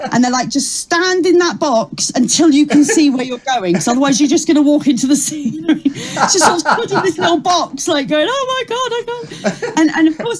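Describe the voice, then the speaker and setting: A woman talks at a fairly quick pace in a high pitch, her voice swinging very widely up and down. Noticeable background noise sits behind her. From Kent, south-east England. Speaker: comedian. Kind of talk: interview.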